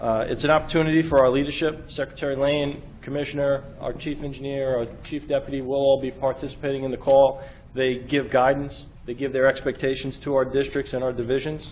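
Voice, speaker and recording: In a New York accent, a man talks at a fairly high pitch and fairly quick pace, with monotone, flat intonation and hardly any pauses. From New York City. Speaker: state transportation emergency official. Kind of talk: briefing to a government board. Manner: fast.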